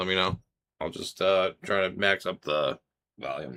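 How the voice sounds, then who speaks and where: The man's tone is bright and sharp, and he speaks at a moderate pace. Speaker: streamer playing a card game. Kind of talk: live stream chat. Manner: hesitant, many filler words; quieter than usual.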